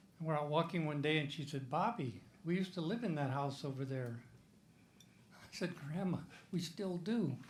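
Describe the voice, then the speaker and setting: Over audible room echo, a man with a fairly high pitch speaks at a moderate pace, with ordinary pitch variation and long, frequent pauses. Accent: American. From Iowa. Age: 80s+. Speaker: comedian. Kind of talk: stand-up.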